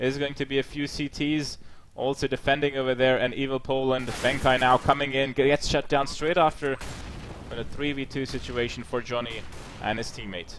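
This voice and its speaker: Speaking with a German accent, a man keeps a medium pitch and a moderate pace. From Germany, near Heidelberg. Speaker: esports caster. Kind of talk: live commentary. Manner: animated.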